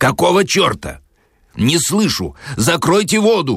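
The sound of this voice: A man puts on a character voice, fairly high and fairly bright, with vocal fry, a slightly husky edge and very wide pitch swings. He speaks at a fairly slow pace in a very clean recording with a silent background.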